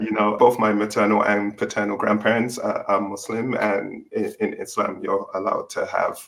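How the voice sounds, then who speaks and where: With noticeable background noise behind him, a man in an English accent talks at a moderate pace with hardly any pauses. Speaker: author and tech worker on a panel. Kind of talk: panel discussion.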